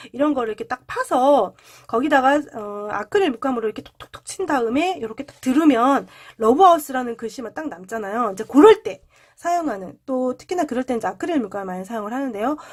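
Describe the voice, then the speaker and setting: A high-pitched woman talks very fast, her intonation lively and her loudness swinging widely. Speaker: coloring book tutorial creator. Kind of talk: tutorial.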